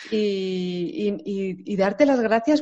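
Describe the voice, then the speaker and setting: A woman with a Castilian accent, medium pitch and lively intonation. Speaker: podcast host and translator. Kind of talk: interview.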